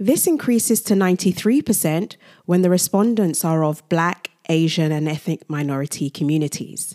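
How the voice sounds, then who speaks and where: A woman with a British accent speaks at a moderate pace with hardly any pauses, her fairly low voice dark and mellow, her pitch varying in an ordinary way, in a dry, close recording with no echo that is very clean over a silent background. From grew up in England, Nigerian heritage. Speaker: podcast host. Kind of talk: solo podcast monologue. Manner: scripted narration.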